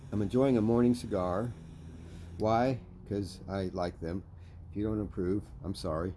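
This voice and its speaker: With long, frequent pauses, a man speaks at a moderate pace in a fairly low, dark and mellow voice with ordinary pitch variation. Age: 60s. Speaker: jiu-jitsu practitioner. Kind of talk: casual talk to camera.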